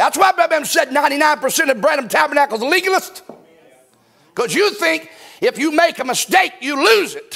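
An animated man's raised, projected voice, extremely high-pitched, with lively intonation at a moderate pace. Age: 50s. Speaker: pastor. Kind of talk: sermon. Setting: church. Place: church. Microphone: lapel.

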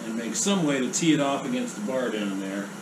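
A man speaks with very wide pitch swings over noticeable background noise. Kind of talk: tutorial. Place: workshop.

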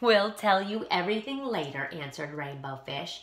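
The clip features an unforced reading voice. Its intonation is lively.

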